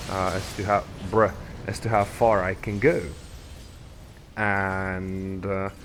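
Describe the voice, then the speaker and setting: Speaking very slowly with a non-native accent, a man keeps a monotone, flat intonation and leaves long, frequent pauses. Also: fairly low pitch for a man. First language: not English. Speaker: gaming YouTuber. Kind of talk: casual gameplay commentary. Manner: halting, rambling with fillers.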